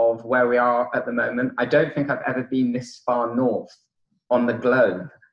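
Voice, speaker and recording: With a British accent, a man speaks at a moderate pace in a medium pitch with ordinary pitch variation. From United Kingdom. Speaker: conference keynote speaker. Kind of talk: conference talk. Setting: conference hall with audience. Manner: hesitant, many fillers.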